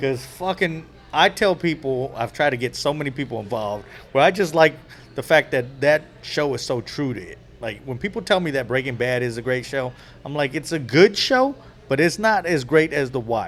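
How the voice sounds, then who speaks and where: A man with a Bay Area accent and a fairly high pitch, at a moderate pace with lively intonation. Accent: California, Bay Area. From California, Bay Area. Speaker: podcast host, comedian. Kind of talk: casual chat.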